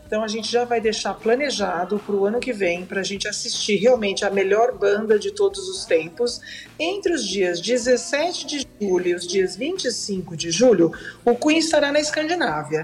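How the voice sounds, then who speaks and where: A woman with a Brazilian accent and a fairly high pitch speaks at a moderate pace with very wide pitch swings over noticeable background noise. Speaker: tourism professional. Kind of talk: casual chat.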